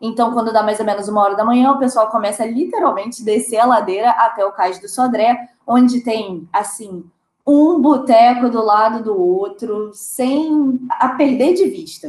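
Using a plain, everyday voice, a woman talks with ordinary pitch variation. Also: fairly high pitch for a woman, moderate pace. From Brazil. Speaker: podcast co-host. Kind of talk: casual chat.

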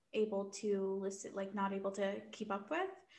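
A woman talks at a medium pitch while audible room echo fills the space. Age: 20s. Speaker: podcast co-host. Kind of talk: casual chat.

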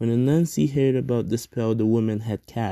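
Text is read aloud here in a natural voice.

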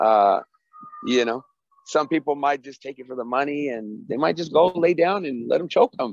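A man with a fairly high pitch and lively intonation at a moderate pace, with big swings in loudness and a dry, close sound with no echo. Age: 30s. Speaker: MMA fighter and coach. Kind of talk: interview. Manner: casual, halting with fillers.

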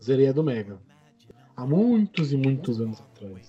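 A man with very wide pitch swings over noticeable background noise. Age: 20s. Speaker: podcast host. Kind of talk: casual chat.

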